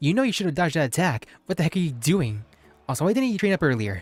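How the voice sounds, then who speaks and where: A man's whiny, put-on character voice, fairly high-pitched, with very wide pitch swings and a very fast pace. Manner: whiny, nagging.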